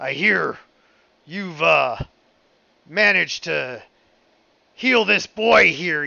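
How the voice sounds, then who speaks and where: Using a put-on character voice, a man speaks at a very slow pace with long, frequent pauses, high pitch and lively intonation. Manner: gruff, crude.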